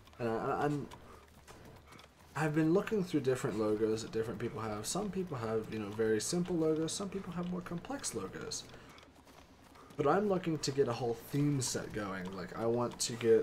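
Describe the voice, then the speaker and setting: Lively intonation from a man at a moderate pace, over noticeable background noise. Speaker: gaming streamer. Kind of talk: live gameplay commentary. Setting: live stream. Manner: casual, halting with repeated false starts.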